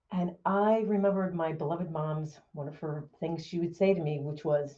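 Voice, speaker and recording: Somewhat breathy, a woman speaks at a moderate pace with a fairly low pitch and fairly even intonation. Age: 60s. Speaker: motivational speaker. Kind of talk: keynote talk.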